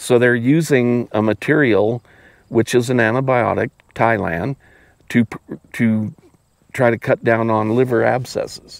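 A man with an American accent speaks at a fairly slow pace, leaving long, frequent pauses, his intonation fairly even and his loudness very even, in a dry sound with no echo against a quiet background. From Wyoming, US. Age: 60s. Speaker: veterinarian. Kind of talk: casual interview conversation. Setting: outdoors on a farm. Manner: halting, many repetitions and fillers. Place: farm machine. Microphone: lapel.

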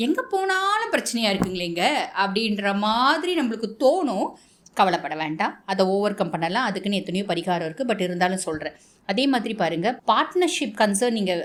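A woman with a medium pitch and lively intonation speaks in a normal speaking voice. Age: 30s. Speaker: astrologer. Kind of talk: astrology forecast monologue.

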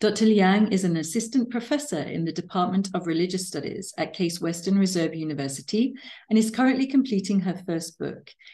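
Over a quiet background, a woman with a dark, mellow, somewhat breathy tone talks fairly quickly with hardly any pauses. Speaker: podcast interviewer. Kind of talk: interview introduction and questions. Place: home room. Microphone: webcam.

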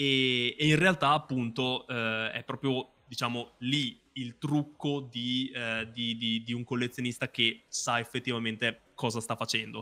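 A man talks at a fairly slow pace with hardly any pauses. His intonation stays fairly even. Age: 30s. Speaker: YouTuber and card collector; YouTuber. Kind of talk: interview. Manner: halting with many fillers. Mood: warm, nostalgic. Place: home room.

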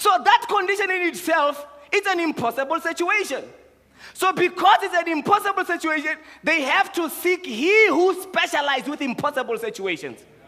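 Against a quiet background, a man projects his raised voice at an extremely high pitch, bright and sharp in tone, with lively intonation and a moderate pace. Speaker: preacher. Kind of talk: sermon. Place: church. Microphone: headset.

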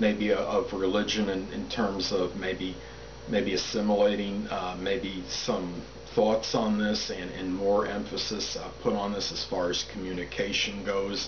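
Noticeable background noise surrounds a man with a fairly low pitch who talks at a fairly slow pace with fairly even intonation. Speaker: astrology commentator. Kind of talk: monologue explanation. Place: home room. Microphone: camera far.

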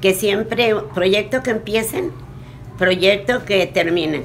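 Speaking at a very slow pace with lively intonation, a woman is heard over light background noise. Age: 80s+. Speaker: motivational speaker. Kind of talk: interview answer. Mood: warm, encouraging. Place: home room. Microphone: phone near.

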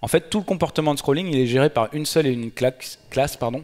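Ordinary pitch variation from a man at a fairly brisk pace. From France, Nantes; France. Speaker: Android developer and conference speaker; conference speaker. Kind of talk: conference talk. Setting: stage with audience. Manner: hesitant, many filler sounds. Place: hall. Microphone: headset.

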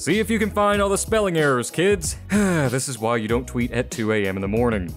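Over music in the background, a man with a medium pitch speaks in an upbeat tone at a fairly quick pace, his pitch swinging very widely. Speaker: gaming news YouTuber. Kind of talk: game news roundup to camera.

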